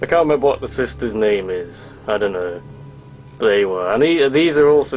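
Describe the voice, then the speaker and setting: Over music in the background, a man in an English accent speaks at a moderate pace with lively intonation. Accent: English, posh. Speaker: toy reviewer, YouTuber. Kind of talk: product review, casual.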